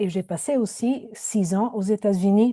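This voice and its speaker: A woman's dark, mellow voice at medium pitch, with an Italian accent, very slow pace, fairly even intonation, and a dry, close sound with no echo. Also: quiet background. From Italy. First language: Italian (speaking French). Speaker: poet and professor. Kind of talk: panel discussion. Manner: hesitant, many fillers.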